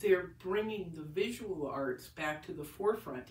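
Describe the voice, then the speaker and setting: Her intonation is lively and her voice somewhat breathy. The woman talks at a fairly slow pace, with audible room echo. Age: 60s. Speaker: painter. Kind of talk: casual vlog monologue. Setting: home, recording on iPad. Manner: halting, many restarts.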